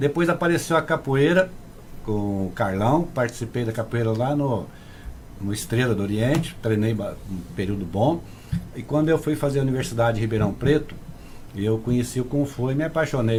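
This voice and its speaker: An ordinary speaking voice from a man at medium pitch and moderate pace, with lively intonation. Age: 60s. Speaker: kung fu grandmaster. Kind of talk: casual interview chat.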